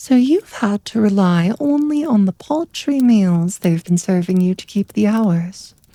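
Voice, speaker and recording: Very slow and soothing, the voice has a dark, mellow tone and lively intonation, with a dry, close sound and no echo. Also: woman. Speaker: bedtime story narrator. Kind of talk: ASMR sleep story narration. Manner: soft, soothing narration.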